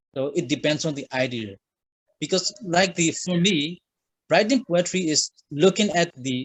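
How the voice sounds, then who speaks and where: A man speaks with a Burmese accent at a fairly high pitch. His pace is fairly slow and his intonation lively. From Myanmar. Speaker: writer. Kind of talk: interview. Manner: halting.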